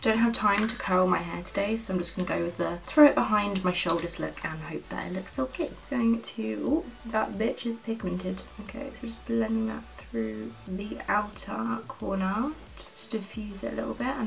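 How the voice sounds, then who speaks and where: There is light background noise. A woman speaks at a moderate pace. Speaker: beauty video creator. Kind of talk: makeup tutorial chat. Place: home room.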